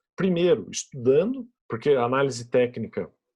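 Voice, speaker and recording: A man talks with lively intonation and a dark, mellow tone. His voice is somewhat breathy against a quiet background. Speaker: podcast host, investment educator. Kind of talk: solo podcast explanation of investing. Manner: casual, with many fillers and repetitions.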